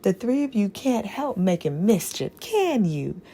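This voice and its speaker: A put-on character voice with a rumbling sound. The pace is moderate. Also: female-sounding voice, medium pitch for a woman. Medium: read story. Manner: grumbling.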